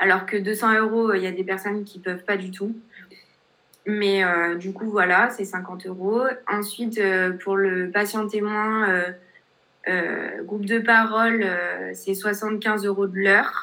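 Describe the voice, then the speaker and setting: The tone is bright and sharp, the intonation monotone and flat. The pace is very slow, with long, frequent pauses. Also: woman, medium pitch for a woman. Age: 20s. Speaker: life coach with paraplegia. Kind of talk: interview testimony.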